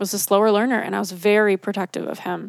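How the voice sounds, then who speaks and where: A woman with a normal speaking voice and medium pitch talks at a fairly quick pace on a very clean recording with a silent background and a dry, close sound with no echo. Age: 30s. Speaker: career coach. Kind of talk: casual chat.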